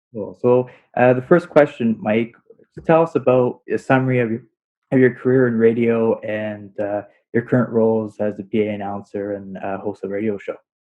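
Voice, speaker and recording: This man has a normal speaking voice pitched in the medium range. He talks at a moderate pace with ordinary pitch variation. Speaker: podcast interviewer and host. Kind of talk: casual interview questions.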